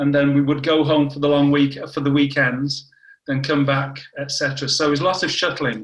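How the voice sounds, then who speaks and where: A somewhat breathy man with a northern English accent, a fairly high pitch, and flat, monotone intonation. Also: moderate pace. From northern England, Warrington. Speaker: cancer biology scientist. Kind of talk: interview.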